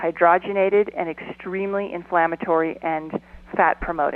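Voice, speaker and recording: An ordinary speaking voice from a woman at medium pitch, with a fairly slow pace and fairly even intonation. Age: 50s. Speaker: documentary film producer and activist. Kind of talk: radio interview.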